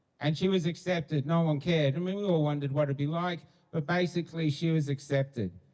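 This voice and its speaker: A man with an Australian accent races at a very fast pace in a fairly high pitch with fairly even intonation. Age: 60s. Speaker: street activist. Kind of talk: public street address. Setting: outdoors. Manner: blunt.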